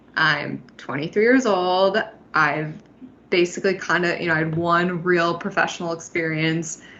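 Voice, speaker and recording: In an unremarkable speaking voice, a woman keeps a moderate pace, fairly low pitch and fairly even intonation. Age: 20s. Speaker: podcast co-host. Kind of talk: podcast interview.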